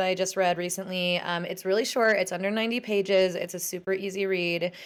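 This woman has an ordinary speaking voice, medium in pitch, with fairly even intonation and a moderate pace. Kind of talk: casual interview chat.

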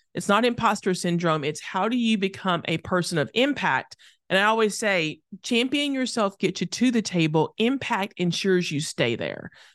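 In a quiet background, a woman with an ordinary speaking voice talks at a moderate pace and medium pitch, her intonation lively. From rural Tennessee, US South. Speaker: author, speaker and former lobbyist. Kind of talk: interview.

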